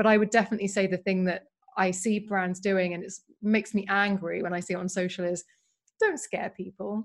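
A woman with a British accent speaks at a medium pitch and a fairly quick pace. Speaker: beauty writer and podcast host. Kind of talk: casual interview chat. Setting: video call. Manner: excited, enthusiastic.

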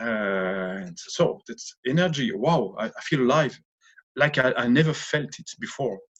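A man with a French accent speaks fairly slowly, his pitch swinging very widely. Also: medium pitch for a man. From France, Lorraine. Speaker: author and former opera tenor. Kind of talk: interview. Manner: halting.

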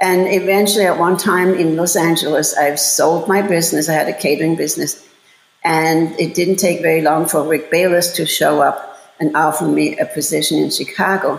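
A woman with a German accent speaks with fairly even intonation and very even loudness, and audible room echo surrounds her voice. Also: fairly low pitch for a woman, moderate pace. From Germany, Bavaria. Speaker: chef and cooking instructor. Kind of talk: interview.

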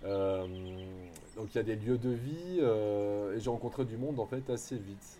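A man speaks in a dark, mellow tone at a fairly slow pace. His medium pitch has ordinary variation. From Bordeaux, southwest France. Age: 30s. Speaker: primary school teacher. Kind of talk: interview testimony. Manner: casual, hesitant with fillers.

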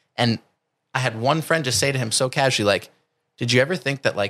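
The recording of this man is dry and close, with no echo. He has an American accent and ordinary pitch variation. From New Jersey. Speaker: calisthenics coach. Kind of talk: casual interview chat. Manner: intense, forceful.

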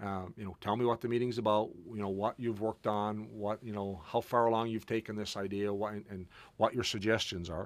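In a very clean recording with a silent background, the speech runs at a fairly quick pace with hardly any pauses and monotone, flat intonation. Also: man, fairly low pitch for a man. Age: 40s. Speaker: podcast host and entrepreneur. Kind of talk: casual interview conversation. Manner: halting, many fillers.

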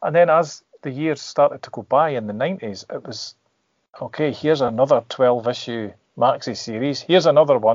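A man with a Scottish accent talks at a moderate pace in a fairly high pitch, with ordinary pitch variation and big swings in loudness. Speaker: comic artist. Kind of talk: casual chat.

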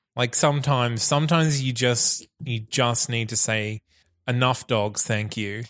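A man in a normal speaking voice, medium in pitch, fairly slow and fairly even in intonation, on a very clean recording with a silent background. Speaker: producer stepping in as co-host. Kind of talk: casual chat. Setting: recorded at his house.

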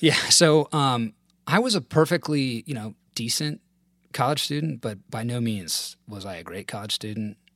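With a dry, close sound and no echo, a man in a normal speaking voice of medium pitch talks at a moderate pace, his intonation lively and his loudness swinging widely. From US South. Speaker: former corporate lawyer. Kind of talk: casual interview.

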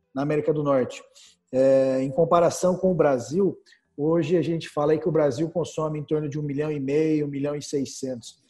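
With music playing behind him, a man with a Brazilian accent speaks at a moderate pace in a fairly high pitch with fairly even intonation. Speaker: business portal founder and interview host. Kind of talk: casual business interview.

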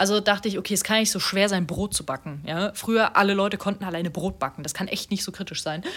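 Talking at a very fast pace with hardly any pauses, a woman speaks at medium pitch. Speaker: podcast co-host, student. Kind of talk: casual chat. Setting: home recording in a flat. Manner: gets louder when worked up.

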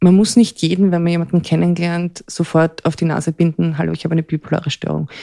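In an Austrian accent, a woman speaks with a fairly low pitch and a dark, mellow tone. Her intonation stays fairly even, and the sound is dry and close with no echo. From Austria, Vienna area. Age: 40s. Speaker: person with bipolar disorder. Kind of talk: personal testimony. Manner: halting, pausing to think.

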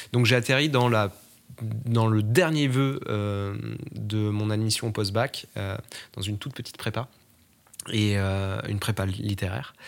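At a very slow pace, a man talks with long, frequent pauses. His voice is fairly low in pitch, with ordinary pitch variation. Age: 20s. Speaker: podcast interviewee. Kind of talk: interview testimony. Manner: halting, many fillers and repetitions.

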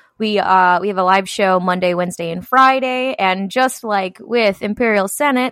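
A woman talks at a fairly slow pace with ordinary pitch variation. She has a plain, everyday voice, recorded with a dry, close sound with no echo. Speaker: podcast co-host. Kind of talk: casual chat podcast.

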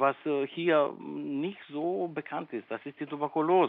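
This man talks at a very slow pace. His fairly high pitch varies in an ordinary way. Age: 60s. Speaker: medical researcher and professor. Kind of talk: interview. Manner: hesitant, many fillers.

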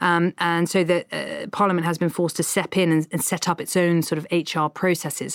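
A woman speaks with a fairly low pitch and fairly even intonation at a fairly quick pace, with hardly any pauses. The sound is dry and close with no echo, on a very clean recording with a silent background. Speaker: political journalist. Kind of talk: interview. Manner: hesitant, filler-heavy.

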